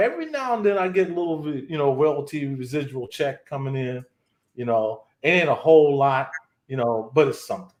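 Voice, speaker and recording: With lively intonation and a fairly high pitch, a man talks in an ordinary speaking voice. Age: 60s. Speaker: retired session musician, live stream guest. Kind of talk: casual chat.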